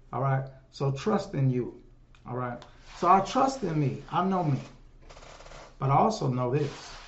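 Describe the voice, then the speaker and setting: A man with a fairly high pitch and ordinary pitch variation speaks at a fairly slow pace with long, frequent pauses, and audible room echo surrounds him. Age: 50s. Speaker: solo podcaster and livestreamer. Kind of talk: casual monologue. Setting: home livestream on phones. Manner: animated, conversational. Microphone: room echo, no headphones.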